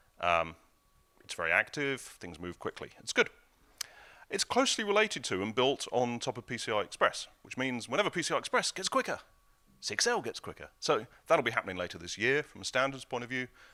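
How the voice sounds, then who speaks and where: Recorded dry and close with no echo, very clean, over a silent background, a man with a medium-pitched, bright and sharp voice shows vocal fry, very wide pitch swings and big swings in loudness. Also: fairly quick pace. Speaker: conference speaker, software developer. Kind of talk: technical conference talk. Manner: fast.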